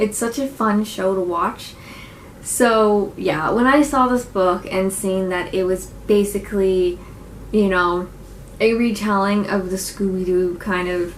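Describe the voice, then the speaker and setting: There is noticeable background noise as a woman speaks at a medium pitch with fairly even intonation. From Nova Scotia, Canada. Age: 20s. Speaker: book reviewer. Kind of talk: casual talk to camera, book review.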